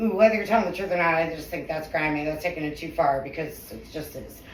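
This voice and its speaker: A woman speaks in an animated tone amid noticeable background noise and audible room echo. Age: 40s. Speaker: podcast co-host. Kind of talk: casual chat.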